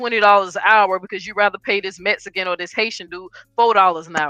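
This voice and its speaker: The delivery is animated in tone. Music plays in the background. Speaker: panel guest. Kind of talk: heated debate.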